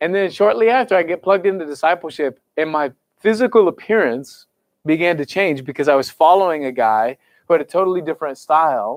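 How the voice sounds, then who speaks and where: Here a man talks at a fairly quick pace with an American accent and a fairly high pitch. His tone is animated and his intonation lively. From US Midwest, Kansas City area. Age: 30s. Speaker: youth pastor. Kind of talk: sermon. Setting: church service, also streamed online.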